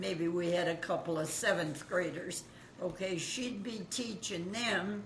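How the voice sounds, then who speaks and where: Amid noticeable background noise and audible room echo, the words unfold at a fairly slow pace. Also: woman, fairly low pitch for a woman, ordinary pitch variation. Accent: American. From Kansas. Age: 90s. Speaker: grandmother recalling the Great Depression. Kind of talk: oral history interview.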